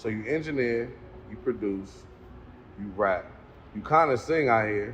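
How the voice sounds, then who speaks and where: Speaking at a fairly slow pace with long, frequent pauses, a man shows ordinary pitch variation against audible room echo. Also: medium pitch for a man. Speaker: interviewer. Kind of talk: casual interview.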